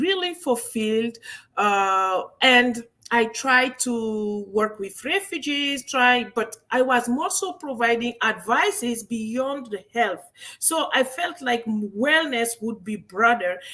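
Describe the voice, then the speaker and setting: The pace is very slow, in a French accent. Intonation stays lively throughout. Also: woman. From Guinea, West Africa. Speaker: medical doctor and wellness entrepreneur. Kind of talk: interview. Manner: halting.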